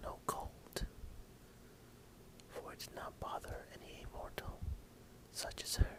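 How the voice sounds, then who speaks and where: Whispering from a man at a fairly slow pace, soothing in tone, with noticeable background noise. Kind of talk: whispered story reading (ASMR). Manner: whispered, soothing.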